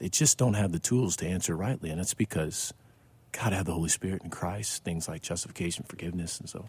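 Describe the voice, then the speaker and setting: A man with a very deep, low voice and an American accent speaks at a fairly quick pace with lively intonation. His tone is dark and mellow, somewhat breathy, with a dry, close sound and no echo. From Missouri, US Midwest. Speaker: pastor. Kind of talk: casual chat.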